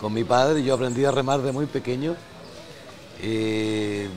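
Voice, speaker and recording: Noticeable background noise sits behind a man. He talks at a moderate pace with a medium pitch. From northern Chile, Arica. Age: 70s. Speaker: writer and storyteller. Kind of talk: interview.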